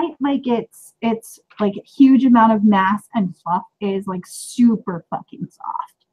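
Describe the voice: With a quiet background, someone does plain reading aloud, the pitch varying in an ordinary way.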